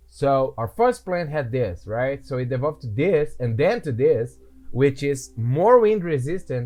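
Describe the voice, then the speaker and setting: Over music in the background, a man with a medium-pitched voice and lively intonation speaks at a very slow pace. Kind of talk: casual gameplay commentary.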